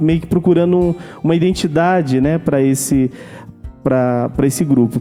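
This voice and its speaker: Music plays in the background as a man talks at a moderate pace, his fairly high pitch moving with ordinary variation. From Brazil, Manaus (Amazonas). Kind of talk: testimony. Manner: halting, many repetitions and fillers.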